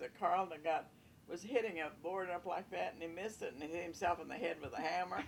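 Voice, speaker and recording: This woman has a fairly low pitch and vocal fry. She talks at a fairly quick pace. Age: 80s+. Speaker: family member recounting memories. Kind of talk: casual reminiscing interview.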